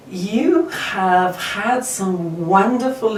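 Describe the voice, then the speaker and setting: A woman speaks at a medium pitch with ordinary pitch variation. Noticeable background noise runs underneath. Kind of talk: interviewer.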